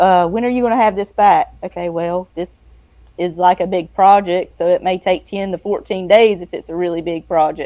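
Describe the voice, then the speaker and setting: The voice has a dark, mellow tone and a Southern US accent. Its intonation stays fairly even at a moderate pace. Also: woman, medium pitch for a woman. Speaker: freelance editor and book layout designer. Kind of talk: casual interview chat. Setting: live streamed show.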